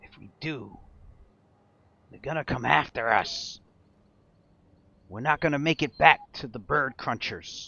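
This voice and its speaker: In a put-on character voice, a man sounds raspy and fairly high, speaking at a fairly slow pace with long, frequent pauses. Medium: actual play. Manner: bickering, jittery.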